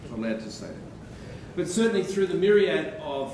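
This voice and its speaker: The speaker has an Australian accent. Audible room echo and noticeable background noise fill the recording. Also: man. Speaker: radiologist. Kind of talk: lecture. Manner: animated.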